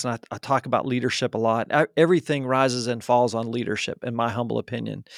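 A man with an American accent and an unremarkable speaking voice talks at a medium pitch and fairly quick pace, his intonation fairly even. The very clean recording has a silent background and a dry, close sound with no echo. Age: 50s. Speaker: marketing agency founder. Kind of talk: interview. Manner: frequent fillers and restarts.

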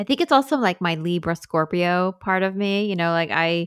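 With an American accent, a woman speaks at a moderate pace in a fairly low pitch. The recording is very clean with a silent background and a dry, close sound with no echo. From New York, Long Island (Hamptons). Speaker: wedding photographer and coach. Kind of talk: casual interview.

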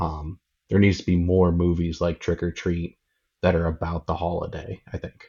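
In an American accent, a man speaks at a moderate pace with a very deep, low pitch. His delivery is monotone and flat, and somewhat breathy. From northwestern Pennsylvania, US. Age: 30s. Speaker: craft beer event organizer. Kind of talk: casual chat.

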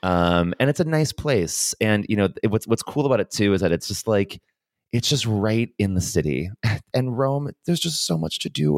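The recording is dry and close, with no echo. A man with a fairly low pitch speaks with very wide pitch swings. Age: 30s. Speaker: podcast co-host. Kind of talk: casual chat.

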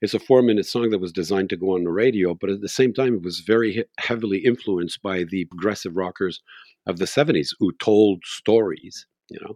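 A man's fairly low voice in a Quebec accent, fairly quick, with ordinary pitch variation and a dry, close sound with no echo over a quiet background. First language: French. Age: 60s. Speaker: singer-songwriter. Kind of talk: interview.

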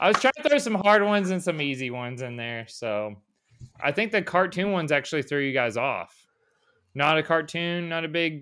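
The recording is very clean with a silent background. A man talks at a moderate pace in a fairly high pitch, with a bright, sharp tone and lively intonation. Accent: American. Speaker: podcast host. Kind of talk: casual chat.

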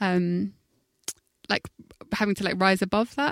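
A woman's medium-pitched voice with a London accent, at a fairly quick pace, dry and close with no echo. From South London. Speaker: musician. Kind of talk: interview. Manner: halting, many fillers.

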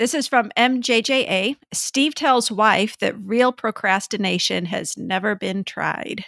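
A woman's bright, sharp, fairly high voice at a very slow pace with hardly any pauses, dry and close with no echo, on a very clean recording with a silent background. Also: ordinary pitch variation. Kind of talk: casual chat.

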